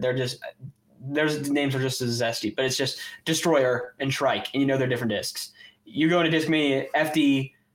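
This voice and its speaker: This man talks at a fairly quick pace in a normal speaking voice with ordinary pitch variation. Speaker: podcast co-host and disc golfer. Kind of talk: casual chat.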